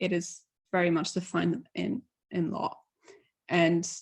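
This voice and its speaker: A woman's somewhat breathy voice at a medium pitch. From Poland. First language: Polish. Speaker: conference speaker. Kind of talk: conference talk.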